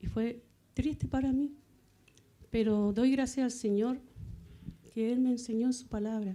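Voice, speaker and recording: Her voice is high-pitched, with a dark, mellow tone. The woman speaks fairly slowly, leaving long, frequent pauses. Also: fairly even intonation. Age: 60s. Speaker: church member. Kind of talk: testimony. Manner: halting.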